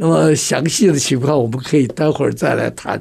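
This man's dark, mellow voice carries vocal fry, ordinary pitch variation and a moderate pace. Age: 80s. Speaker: communication trainer and author. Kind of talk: radio interview.

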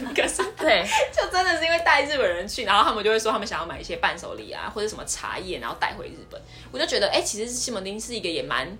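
Very fast speech with big swings in loudness comes through noticeable background noise and audible room echo. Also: woman. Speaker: podcast host. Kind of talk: casual chat.

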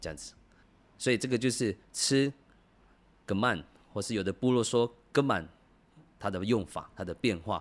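On a very clean recording with a silent background, a man speaks at a moderate pace and a fairly low pitch. His pitch varies in an ordinary way, and he leaves long, frequent pauses. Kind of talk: language tutorial. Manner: conversational, many filler particles.

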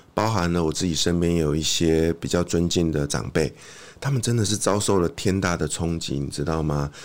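A man with a very deep, low pitch speaks at a moderate pace, his pitch varying in an ordinary way. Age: 40s. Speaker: author, former ad sales worker. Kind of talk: casual interview. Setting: studio.

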